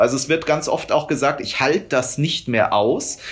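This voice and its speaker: Pitched fairly high for a man, his voice has a slight breathiness. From rural Germany. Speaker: animal rights activist. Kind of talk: interview.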